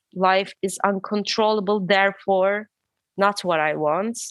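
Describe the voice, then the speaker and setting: Very slow speech from a woman with fairly even intonation. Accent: non-native. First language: not English. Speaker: guest with maladaptive daydreaming experience. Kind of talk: casual interview chat. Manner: halting, self-correcting.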